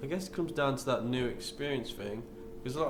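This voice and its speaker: Speaking at a fairly quick pace with an East Midlands accent, a man is heard with audible room echo and noticeable background noise. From England, Nottingham (East Midlands). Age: 20s. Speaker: backpacker and temple volunteer. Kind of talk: interview. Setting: in a temple kitchen. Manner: casual, with many fillers.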